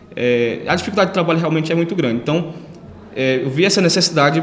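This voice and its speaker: Talking at a very fast pace, a man with a fairly high pitch and ordinary pitch variation is heard through noticeable background noise and audible room echo. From Ceará, Brazil (Northeast). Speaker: lawyer. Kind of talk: interview. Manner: hesitant, many fillers.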